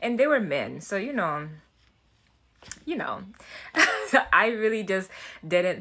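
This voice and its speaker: Speaking at a fairly slow pace, a woman has a bright, sharp tone on a very clean recording with a silent background. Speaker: self-development YouTuber. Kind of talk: casual vlog talk. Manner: halting, with fillers and restarts.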